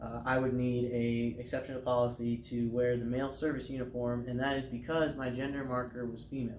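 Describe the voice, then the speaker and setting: A man with an American accent speaks at a fairly quick pace in a monotone, flat intonation at medium pitch, with hardly any pauses and audible room echo. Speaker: air force veteran. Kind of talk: interview. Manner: hesitant.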